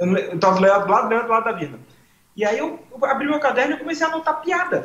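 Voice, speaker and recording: This man talks at a very fast clip with lively intonation and an extremely high pitch. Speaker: comedian. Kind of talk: casual chat. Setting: live stream.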